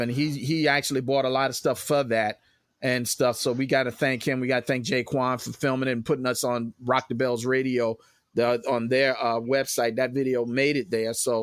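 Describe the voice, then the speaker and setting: A man with an American accent speaks at medium pitch and moderate pace in a monotone, flat intonation, on a very clean recording with a silent background. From Richmond, Virginia, US. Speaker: hip hop crew member. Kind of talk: casual chat.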